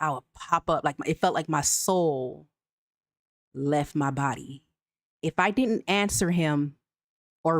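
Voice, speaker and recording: Very deep and low in pitch, a woman speaks at a fairly slow pace with ordinary pitch variation, very even loudness and long, frequent pauses, in a dry, close sound with no echo. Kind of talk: commercial, polished.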